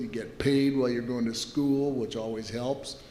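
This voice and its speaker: Audible room echo surrounds a man speaking at medium pitch. His intonation is fairly even. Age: 70s. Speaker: company founder and executive. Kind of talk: interview.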